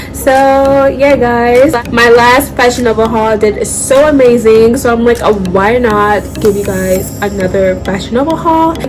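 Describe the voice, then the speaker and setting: A woman speaks at a high pitch and a fairly slow pace, with ordinary pitch variation. Music plays in the background, and audible room echo is present. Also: hardly any pauses. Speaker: fashion YouTuber. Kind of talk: try-on haul vlog. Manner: loud, near shouting; animated.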